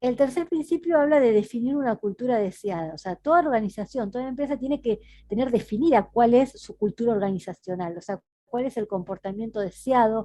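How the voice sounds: Her tone dark and mellow, a woman speaks at a fairly quick pace with a fairly high pitch and ordinary pitch variation.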